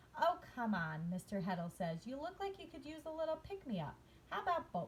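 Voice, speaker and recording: A woman in a put-on character voice with a high pitch at a fairly quick pace, over clear background noise. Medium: read story. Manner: calm, warm, knowing.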